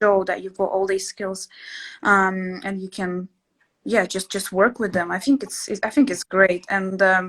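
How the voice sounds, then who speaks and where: The speaker talks at a fairly slow pace with a Russian accent and fairly even intonation. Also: woman, medium pitch for a woman. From Latvia. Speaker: interior sketching instructor. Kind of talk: casual chat. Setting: live stream. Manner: hesitant, many fillers.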